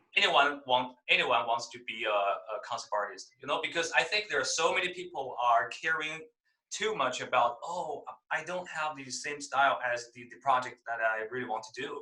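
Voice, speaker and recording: A man in a Chinese accent, fairly high-pitched, with lively intonation, big swings in loudness and a moderate pace. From mainland China. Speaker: concept artist. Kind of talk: interview. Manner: halting, many fillers.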